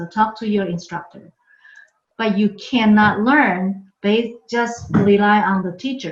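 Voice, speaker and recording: A woman with a Chinese accent speaks fairly slowly in a somewhat breathy voice. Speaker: university language professor. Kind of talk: lecture. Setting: online workshop recorded from home. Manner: frequent filler 'okay'.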